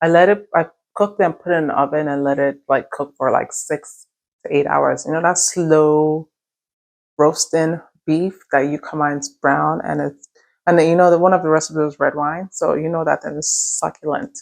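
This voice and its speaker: A soft-spoken woman at a moderate pace, with a very deep, low pitch and fairly even intonation. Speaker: lifestyle vlogger. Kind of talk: casual vlog talk. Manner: soft-spoken, low.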